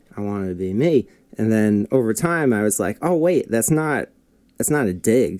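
This man has an unremarkable speaking voice at a medium pitch. He moves at a moderate pace with lively intonation. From New Jersey, Denville. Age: 20s. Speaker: musician and music school owner. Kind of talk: casual chat. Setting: studio.

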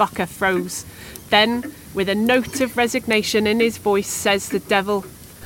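Plain reading aloud keeps its intonation fairly even.

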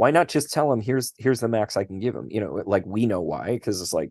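Vocal fry marks this man's fairly low voice, heard with a dry, close sound with no echo over a quiet background. He speaks at a very fast pace with lively intonation. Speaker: literature professor and podcast co-host. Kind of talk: casual chat. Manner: halting, many fillers.

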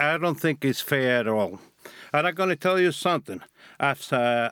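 A man with a Cuban accent and lively intonation, in a dry, close sound with no echo on a very clean recording with a silent background. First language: Spanish. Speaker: former drug smuggler. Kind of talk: interview.

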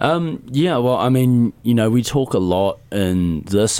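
This man has a New Zealand accent. He speaks at a very slow pace. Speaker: drummer in a metal band. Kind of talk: casual interview. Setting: studio.

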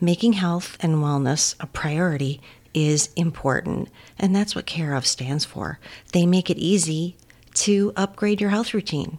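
A woman with an ordinary speaking voice talks at a fairly slow pace, her pitch fairly low with ordinary pitch variation. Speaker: co-host and interviewer. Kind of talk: casual interview chat.

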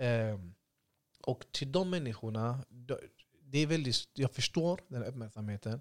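At a fairly slow pace with long, frequent pauses, a man talks at a medium pitch with ordinary pitch variation, the sound dry and close with no echo. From Sweden (Gothenburg, Hammarkullen). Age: 20s. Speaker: youth centre founder. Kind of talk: casual interview.

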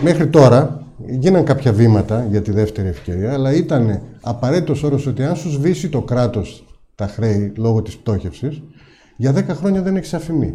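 Somewhat breathy, a man with a medium pitch and a dark, mellow tone speaks with lively intonation. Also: moderate pace. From Greece, Ikaria. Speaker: businessman and parliamentary candidate. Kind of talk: political interview.

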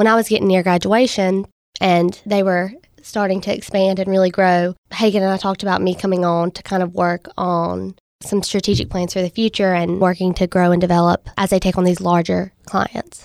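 In a Southern US accent, a woman speaks at a moderate pace with monotone, flat intonation, recorded very cleanly against a silent background with a dry, close sound and no echo. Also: medium pitch for a woman. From US South, Mississippi. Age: 20s. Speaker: startup co-founder. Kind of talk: interview.

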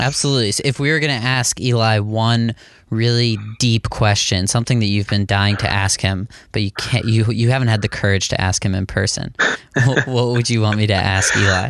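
An ordinary speaking voice, a man with an American accent talks fairly quickly at a medium pitch, with fairly even intonation, very even loudness and a quiet background. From western Pennsylvania. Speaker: podcast host. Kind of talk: interview.

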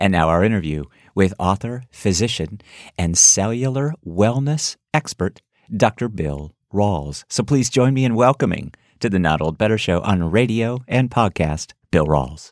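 A man with an ordinary speaking voice talks fairly slowly at a fairly low pitch, with lively intonation. The recording is very clean with a silent background and has a dry, close sound with no echo. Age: 60s. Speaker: radio and podcast host. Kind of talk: interview.

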